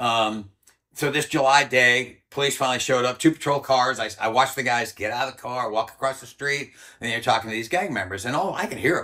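Quiet surrounds a man as he talks. His pace is very fast and his pitch varies in an ordinary way. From Rhode Island. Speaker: former army ranger; interviewee. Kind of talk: interview storytelling. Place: home room. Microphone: lapel.

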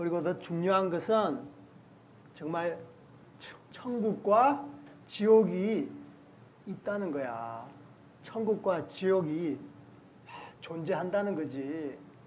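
The speech moves very slowly, with long, frequent pauses. Loudness swings widely over light background noise. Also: man. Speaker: actor in church skit. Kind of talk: gentle preaching to children in a drama. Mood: warm, explaining. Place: church. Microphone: camera far.

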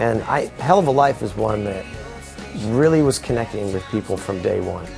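Clear music plays in the background. Over it, a man talks at a moderate pace. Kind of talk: interview answer. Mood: upbeat, reflective. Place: studio.

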